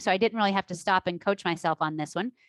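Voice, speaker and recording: An animated tone with ordinary pitch variation comes through in a dry, close sound with no echo. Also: woman. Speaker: life coach. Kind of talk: online class. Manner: loud.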